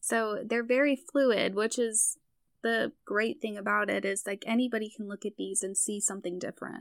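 With an ordinary speaking voice, a woman speaks at a moderate pace and fairly high pitch with fairly even intonation, the sound dry and close with no echo on a very clean recording with a silent background. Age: 20s. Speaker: tarot hobbyist and web designer. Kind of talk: casual chat.

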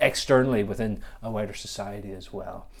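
A man with a Northern Irish accent speaks at a fairly low pitch, his intonation fairly even. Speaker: podcast host and church officer. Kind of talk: casual podcast conversation.

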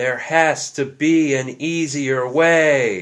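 A put-on character voice from a man, fairly high in pitch, at a very slow pace with fairly even intonation, in a very clean recording with a silent background. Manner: salesy, infomercial pitch.

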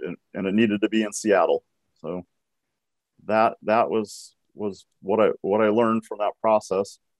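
Speaking at a moderate pace with an American accent, a man delivers his words in a monotone, flat intonation, the sound dry and close with no echo. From US Pacific Northwest, Washington State. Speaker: nonprofit executive, blind speaker. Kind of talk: keynote talk. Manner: halting, repeats words.

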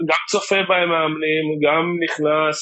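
A man's voice, fairly high in pitch. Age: 30s. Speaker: youth football technical director. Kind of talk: interview conversation. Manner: halting, many repetitions.

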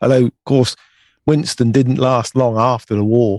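A man with an English accent speaks in a fairly even intonation, captured in a very clean recording with a silent background. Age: 50s. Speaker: UK correspondent. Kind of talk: casual chat.

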